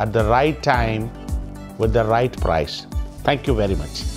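Clear background music accompanies the recording. The voice belongs to a man. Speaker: company executive. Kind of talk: corporate announcement speech. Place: office.

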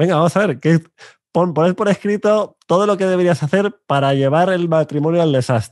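A man speaks in a high pitch at a moderate pace, with ordinary pitch variation and very even loudness. The sound is dry with no echo, and the background is quiet. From Spain, Burgos; Spain. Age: 30s. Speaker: coach and YouTube host; coach, YouTube host. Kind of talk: interview conversation. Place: studio. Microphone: studio mic.

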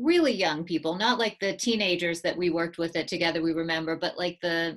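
Over a quiet background, a woman with an American accent speaks at a moderate pace and medium pitch. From US. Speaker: museum director and interviewer; interviewer. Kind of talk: interview. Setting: video call. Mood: calm, earnest. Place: home room. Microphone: earbuds.

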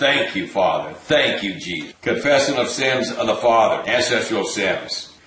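A man's intense tone amid audible room echo. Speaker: deliverance minister leading viewers in prayer. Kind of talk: fervent prayer and commanding spiritual warfare, repeating commands; interactive deliverance session. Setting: online video. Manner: intense, insistent, forceful, repetitive. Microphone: webcam.

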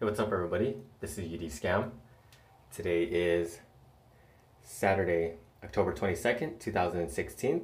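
Very slowly, a man talks in a very deep, low pitch, his voice somewhat breathy. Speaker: fitness vlogger. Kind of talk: casual vlog chat. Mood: upbeat early morning. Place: bathroom. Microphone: phone near.

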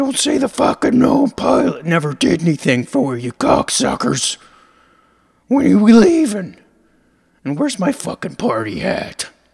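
A put-on character voice with fairly high pitch. It moves along at a moderate pace. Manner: grouchy, profane, complaining.

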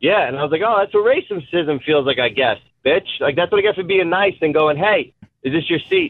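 An excited, high-pitched man with an American accent and lively intonation. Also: fairly quick pace. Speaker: stand-up comedian. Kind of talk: call-in conversation. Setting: phone call.

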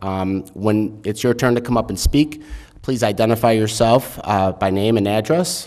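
A man speaks at a moderate pace with a fairly low pitch. It is an unremarkable speaking voice, set against a quiet background. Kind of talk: meeting procedure and reading a statement. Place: hall. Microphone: podium.

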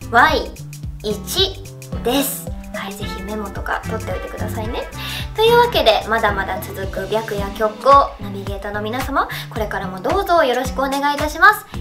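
Clear music plays behind a woman's voice. She talks at a moderate pace. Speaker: voice actress. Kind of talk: anniversary greeting message to fans. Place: studio.

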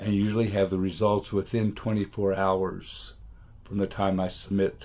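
A man with a dark, mellow tone, monotone and flat, at a moderate pace. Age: 70s. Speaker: retired photographer, art student. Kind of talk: testimonial talk to camera. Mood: calm, appreciative. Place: home room. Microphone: webcam.

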